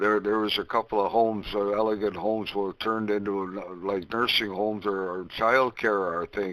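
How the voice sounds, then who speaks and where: With an Ontario accent, a man speaks in a monotone, flat intonation at a fairly low pitch, keeping a moderate pace with hardly any pauses. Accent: Canadian (Ontario). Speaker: ham radio net controller. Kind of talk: ham radio conversation. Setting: radio transmission via remote station.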